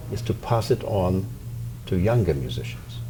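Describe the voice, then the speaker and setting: A man's fairly low voice in a Polish accent at a moderate pace with ordinary pitch variation, with audible room echo and music in the background. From Poland. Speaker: violin professor and orchestra founder. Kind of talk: interview.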